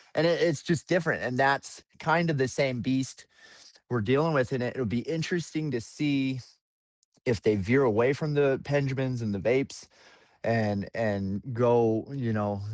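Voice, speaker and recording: With an American accent, a man talks in an unremarkable speaking voice at a moderate pace with ordinary pitch variation, captured on a very clean recording with a silent background. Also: medium pitch for a man. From Colorado, Longmont. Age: 30s. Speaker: home cannabis grower and hash maker. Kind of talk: casual podcast conversation. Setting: podcast interview. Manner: casual, filler-heavy.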